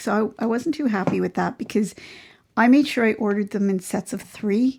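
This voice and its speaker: A woman with a Canadian accent talks at a fairly quick pace in a fairly high, somewhat breathy voice with ordinary pitch variation. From Ontario, Canada. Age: 60s. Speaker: crochet youtuber. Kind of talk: casual vlog chat. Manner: chatty, informal.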